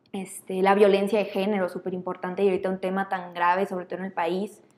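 Speaking at a very fast pace, a woman keeps a medium pitch and a monotone, flat intonation. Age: 20s. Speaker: lawyer and feminist. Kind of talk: casual interview.

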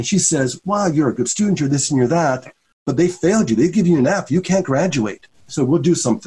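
A man with a dark, mellow tone and a somewhat breathy voice speaks with lively intonation. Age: 50s. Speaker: social work professor. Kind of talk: interview.

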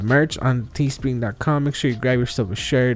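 Using an ordinary speaking voice, a man talks at a moderate pace and a medium pitch. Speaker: podcast host. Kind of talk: casual interview. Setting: remote recording with out-of-state guest.

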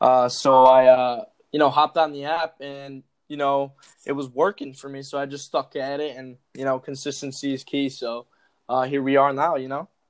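With an American accent, a man speaks at a moderate pace in a fairly high pitch and monotone, flat intonation, with a dry, close sound with no echo and a quiet background. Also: big swings in loudness. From Chicago. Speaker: TikTok creator. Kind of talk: casual chat.

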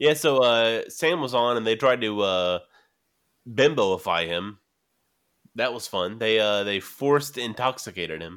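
A man's medium-pitched voice with lively intonation, at a fairly slow pace with long, frequent pauses. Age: 20s. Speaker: podcast host. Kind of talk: casual chat.

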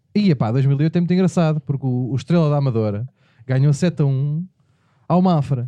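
Somewhat breathy and dark, mellow in tone, a man's fairly high voice moves with lively intonation in a dry, close sound with no echo. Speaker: podcast host. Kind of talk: casual comedic chat.

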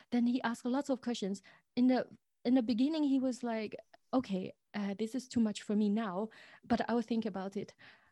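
On a very clean recording with a silent background, a woman with a Chinese accent and a fairly high pitch talks at a fairly quick pace with fairly even intonation and long, frequent pauses. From China, Zhejiang province. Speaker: tea shop owner. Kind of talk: interview.

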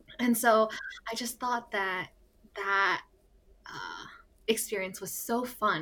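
A woman talks with an American accent. Her pace is moderate. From US. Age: 20s. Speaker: podcast co-host, pharmacy student. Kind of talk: casual chat. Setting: recording in a closet.

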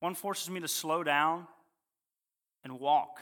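A man speaks with an American accent in a bright, sharp tone. Audible room echo is heard. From Ohio. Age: 20s. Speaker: guest preacher. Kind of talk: sermon.

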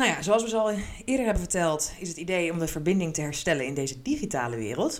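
Very wide pitch swings mark this woman's fairly low voice at a very fast pace. Audible room echo is present. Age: 30s. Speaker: podcast co-host, HR colleague. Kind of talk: casual chat. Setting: studio-style recording with podcast microphone.

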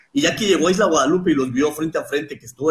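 A man speaks at a very fast pace in a somewhat breathy voice. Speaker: shark researcher. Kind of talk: interview.

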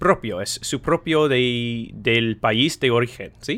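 A man talks at a fairly slow pace. His pitch sits in the medium range. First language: English (speaks learner Spanish). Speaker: podcast host. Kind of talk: casual interview in English and Spanish. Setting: online call.

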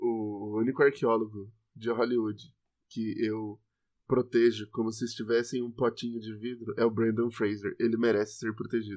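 At a moderate pace, a man speaks in a monotone, flat intonation. His pitch sits in the medium range. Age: 20s. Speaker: podcast co-host. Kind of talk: educational casual chat.

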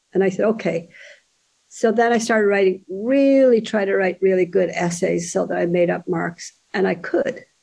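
A woman's medium-pitched voice with an Irish accent, moderate pace and ordinary pitch variation. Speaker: author. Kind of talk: casual interview chat.

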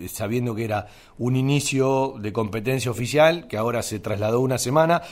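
A man speaks with a Rioplatense accent. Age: 50s. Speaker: radio sports host. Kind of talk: radio sports talk show.

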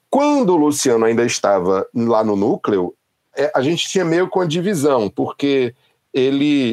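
A man with an unremarkable speaking voice talks at a fairly slow pace with lively intonation. The sound is dry and close with no echo, and the background is quiet. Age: 40s. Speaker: music journalist and critic. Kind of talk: casual interview.

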